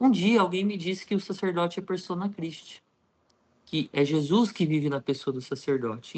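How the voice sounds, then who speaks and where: A high-pitched man at a moderate pace, with lively intonation. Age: 30s. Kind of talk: interview, personal testimony.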